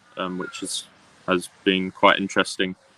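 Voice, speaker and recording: This man talks at a moderate pace with an English accent. The sound is dry and close, with no echo. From UK, raised mostly in Australia. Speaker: PhD student, ornithology researcher. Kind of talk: interview. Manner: halting, many fillers.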